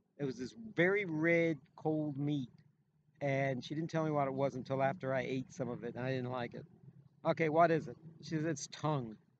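A man speaks at a moderate pace with a fairly high pitch and ordinary pitch variation. The sound is dry with no echo, though noticeable background noise is present. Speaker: former radio and sports announcer, show co-host; talk show guest. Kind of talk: casual chat. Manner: halting, repeats words often. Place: open country. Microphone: phone near.

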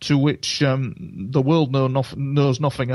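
Here a passage is being read aloud in a natural voice.

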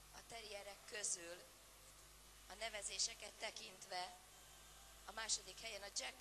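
The intonation is monotone and flat. Noticeable background noise runs underneath. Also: woman. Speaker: dog show ring announcer and interpreter. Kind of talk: live commentary. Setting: PA system at dog show arena. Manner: formal.

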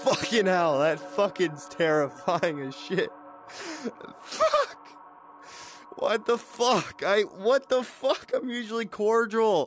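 A man talks at a very slow pace. The sound is dry with no echo, and faint music plays in the background. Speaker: gamer. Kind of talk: gaming commentary, yelling. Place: home room.

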